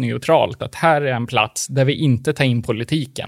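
With an unremarkable speaking voice, a man talks at a moderate pace in a medium pitch with ordinary pitch variation. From Sweden. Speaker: podcast co-host. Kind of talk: casual chat.

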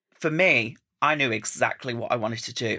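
With an Estuary English accent, a man talks at a moderate pace in a medium pitch with ordinary variation and a bright, sharp tone, on a very clean recording with a silent background. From Essex, England. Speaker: drag queen. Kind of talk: casual chat. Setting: studio. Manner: animated.

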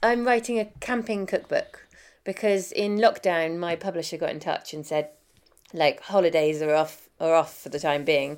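In a very clean recording with a silent background, a woman with a southern English accent speaks at a fairly low pitch with ordinary pitch variation. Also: moderate pace. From southern Africa (Zimbabwe, Botswana, South Africa) until 8, then London. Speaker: chef and food writer. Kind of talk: interview. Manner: hesitant, many fillers.

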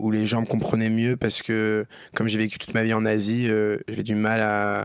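A man speaks with monotone, flat intonation. Noticeable background noise runs behind him. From grew up abroad: China, India, Japan, Germany. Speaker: singer. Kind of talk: casual chat. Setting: studio.

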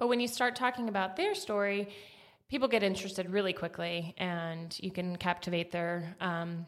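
A woman with a plain, everyday voice speaks at a moderate pace. Her intonation is lively. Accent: American. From Atlanta, US South. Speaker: marketing consultant, company founder. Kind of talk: casual interview. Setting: podcast studio.

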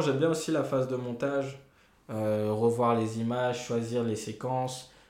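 Audible room echo surrounds a man speaking at a fairly slow pace. His pitch sits in the medium range. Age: 20s. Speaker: journalist. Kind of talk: casual chat.

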